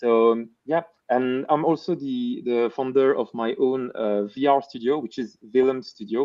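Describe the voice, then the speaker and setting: Here a man speaks with a Belgian accent. His pace is fairly slow and his intonation fairly even. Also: medium pitch for a man. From French-speaking Belgium. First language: French. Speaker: VR developer and YouTube educator. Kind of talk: casual live stream chat. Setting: live stream.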